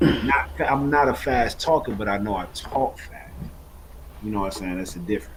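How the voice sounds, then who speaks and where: A man speaks at a fairly quick pace. His pitch swings very widely and his loudness swings a lot too. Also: fairly low pitch for a man. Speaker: trading educator. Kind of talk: live trading Q&A stream. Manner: fast.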